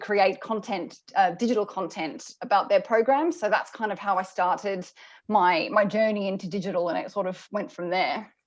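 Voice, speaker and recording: Against a quiet background, a woman with a strong Australian accent speaks at a moderate pace and medium pitch, with ordinary pitch variation and hardly any pauses. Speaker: senior product manager in motorsport. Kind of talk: interview. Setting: video call. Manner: halting, many fillers.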